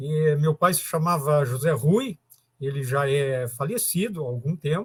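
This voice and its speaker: In a plain, everyday voice, a man speaks at a fairly slow pace. His pitch is fairly high, with ordinary pitch variation. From southern Brazil, rural Arroio Grande. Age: 50s. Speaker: technical school teacher. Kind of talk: casual interview.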